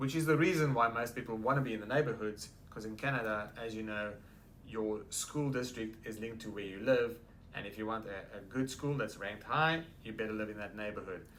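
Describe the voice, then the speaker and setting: With a South African accent, this voice moves at a fairly quick pace with ordinary pitch variation, and there is audible room echo. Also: man, medium pitch for a man. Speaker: real estate agent. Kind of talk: interview. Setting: office.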